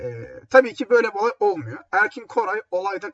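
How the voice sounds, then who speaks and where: Here a man speaks with very wide pitch swings. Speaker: radio host. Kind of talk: music radio show presenting. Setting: home. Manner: casual, halting with fillers. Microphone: laptop built-in mic, echoey.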